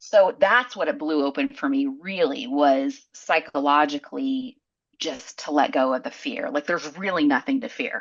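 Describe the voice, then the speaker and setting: Speaking with a Southern US accent, a woman keeps a moderate pace. Her very deep, low pitch makes very wide swings. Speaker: psychologist and entrepreneur. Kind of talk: podcast interview.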